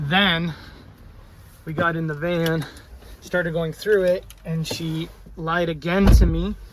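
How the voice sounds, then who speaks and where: A man speaks very slowly in a high, flat monotone, with long pauses coming often. Background noise is noticeable. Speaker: travel vlogger. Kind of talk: casual vlog review. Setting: inside a camper van.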